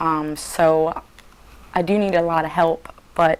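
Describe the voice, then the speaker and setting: A woman talks in a monotone, flat intonation. Noticeable background noise sits behind her. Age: 20s. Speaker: patient. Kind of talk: interview. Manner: halting.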